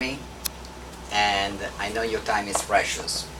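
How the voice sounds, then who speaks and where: With a strong non-native accent, a man speaks fairly slowly in a fairly low pitch and a monotone, flat intonation, with noticeable background noise. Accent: thick foreign. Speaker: internet marketing instructor. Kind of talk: live lecture presentation.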